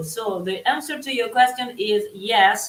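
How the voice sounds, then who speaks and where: Noticeable background noise sits behind a woman speaking with an Italian accent. She talks at a moderate pace, pitched fairly high with ordinary pitch variation. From Italy. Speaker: psychic. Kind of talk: live tarot reading. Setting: live stream. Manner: halting.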